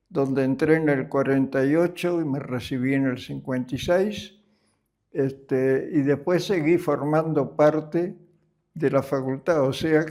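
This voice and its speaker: A man's dark, mellow tone sits at a fairly high pitch, his intonation fairly even. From Argentina. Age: 90s. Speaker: retired engineer. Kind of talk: interview.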